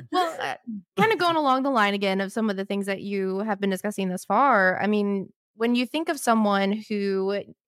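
Recorded very cleanly against a silent background, with a dry, close sound and no echo, a woman speaks at a moderate pace in a medium pitch, with an unremarkable speaking voice. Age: 30s. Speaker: podcast co-host. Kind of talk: casual chat; reading aloud.

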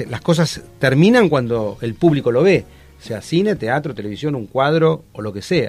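A man's fairly high voice with an Argentine accent, lively intonation and big swings in loudness. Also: moderate pace. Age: 50s. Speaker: TV actor and social entrepreneur. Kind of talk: casual chat.

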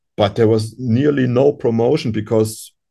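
With vocal fry and a dark, mellow tone, a man speaks at medium pitch and a moderate pace, his pitch varying in an ordinary way. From Europe. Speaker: musician. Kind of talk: interview. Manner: halting.

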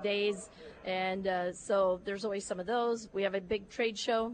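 A woman with a Midwestern US accent talks at a medium pitch with fairly even intonation. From northern Iowa. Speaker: livestock show organizer. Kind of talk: interview.

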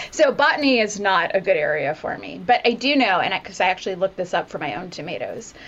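Noticeable background noise sits behind a woman talking at a moderate pace with lively intonation. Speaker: biotech scientist. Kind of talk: casual chat. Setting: video call.

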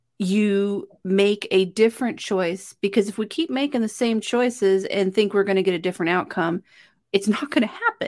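This is a woman with an ordinary speaking voice at medium pitch and ordinary pitch variation. The recording is very clean, with a silent background. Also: moderate pace. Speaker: podcast host. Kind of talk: casual interview chat. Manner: warm, empathetic.

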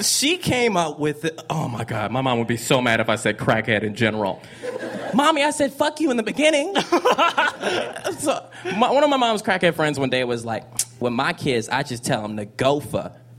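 A man keeps a moderate pace as noticeable background noise carries on behind him. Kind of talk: stand-up-style storytelling and riffing.

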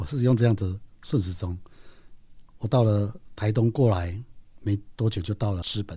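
In a very clean recording with a silent background, a man speaks at a fairly low pitch with a somewhat breathy, dark, mellow tone and ordinary pitch variation. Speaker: podcast host and nature writer. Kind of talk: storytelling narration.

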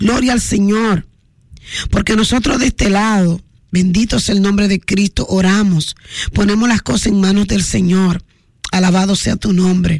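A woman with a Dominican accent, medium pitch, an animated tone, ordinary pitch variation, very even loudness and a moderate pace. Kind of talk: radio call-in show with prayer.

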